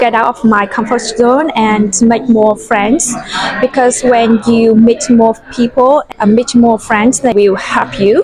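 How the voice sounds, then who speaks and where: Speaking at a very slow pace with fairly even intonation and very even loudness, a woman with a Vietnamese accent uses a fairly high pitch over noticeable background noise. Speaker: university student. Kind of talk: podcast interview. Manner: halting.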